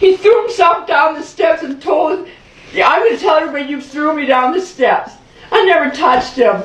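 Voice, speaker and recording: A woman talks fairly quickly with lively intonation and an extremely high pitch. Room echo is audible, and background noise is noticeable. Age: 50s. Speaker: mother reporting abuse to police. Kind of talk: police interview. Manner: agitated.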